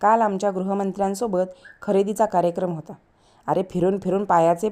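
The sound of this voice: The reading is done in an unforced reading voice with fairly even intonation.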